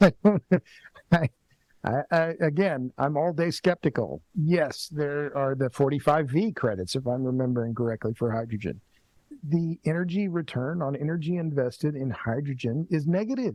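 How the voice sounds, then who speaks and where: A man talks at a moderate pace in an ordinary speaking voice, his fairly high pitch carrying lively intonation. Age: 60s. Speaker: energy writer and commentator. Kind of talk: podcast interview.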